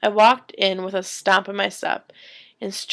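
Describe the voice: Someone simply reads the text aloud in a plain way.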